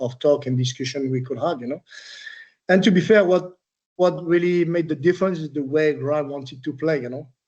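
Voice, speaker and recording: Speaking at a fairly quick pace with a French accent, a man has a dark, mellow tone and ordinary pitch variation. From France, Troyes. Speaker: retired footballer. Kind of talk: interview. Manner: hesitant, many fillers.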